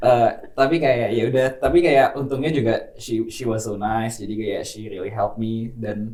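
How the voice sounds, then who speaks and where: A man's dark, mellow tone sits at a medium pitch. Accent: Indonesian. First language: Indonesian. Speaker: podcast co-host, university student. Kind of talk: casual chat.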